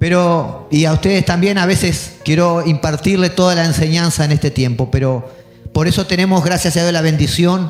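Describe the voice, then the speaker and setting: Backed by music, a man with a high pitch speaks at a moderate pace with fairly even intonation. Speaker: pastor. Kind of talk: sermon.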